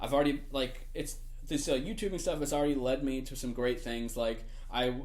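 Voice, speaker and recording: With audible room echo around him, a man talks very fast and varies his pitch in an ordinary way. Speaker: gaming YouTuber. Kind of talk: casual vlog talk. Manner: frequent filler words, hesitant.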